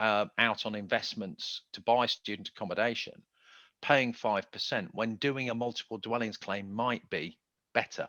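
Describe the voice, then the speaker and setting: The man's tone is bright and sharp, with a dry, close sound and no echo. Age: 60s. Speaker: tax consultant. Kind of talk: presentation Q&A. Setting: video call.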